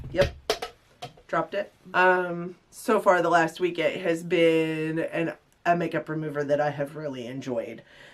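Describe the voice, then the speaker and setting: Against noticeable background noise, a woman with a fairly low pitch talks at a fairly slow pace with ordinary pitch variation. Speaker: beauty vlogger. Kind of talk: casual vlog talk; off-camera chat. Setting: home recording with partner in room.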